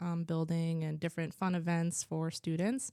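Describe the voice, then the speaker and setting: A fairly low-pitched woman with a New Jersey accent, dark and mellow in tone, fairly quick, in a dry, close sound with no echo. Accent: New Jersey American English. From New Jersey (Warren), US. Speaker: school culture coordinator. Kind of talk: interview. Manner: hesitant, many fillers.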